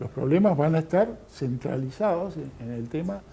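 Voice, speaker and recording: A man speaks at a fairly slow pace in a fairly high pitch. Audible room echo surrounds his voice. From Argentina. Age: 60s. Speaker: lecturer. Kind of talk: lecture. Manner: halting, many fillers.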